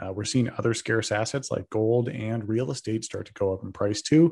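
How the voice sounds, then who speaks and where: In a normal speaking voice with an American accent, the speaker goes at a fairly quick pace with fairly even intonation over a quiet background. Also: man. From Texas. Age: 30s. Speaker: crypto investor and commentator. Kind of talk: interview. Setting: video call.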